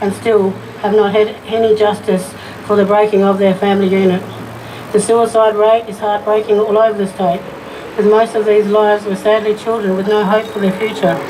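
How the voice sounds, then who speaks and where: A fairly quick delivery against noticeable background noise. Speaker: activist speaker. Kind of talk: rally speech, poem-like.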